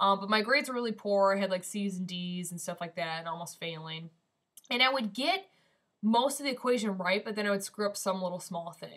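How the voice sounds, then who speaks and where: A woman with a Midwestern accent, medium pitch, ordinary pitch variation and a fairly quick pace. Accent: Midwestern twang. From US Midwest (Michigan). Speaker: vlogger. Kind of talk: casual vlog. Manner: casual, filler-heavy.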